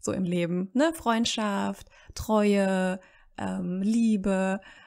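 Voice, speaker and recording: The recording is very clean, with a silent background. A woman talks at a medium pitch with ordinary pitch variation. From Germany, city-raised, parents from rural Serbia. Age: 30s. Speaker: language education worker. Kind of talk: casual interview. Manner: hesitant, many fillers.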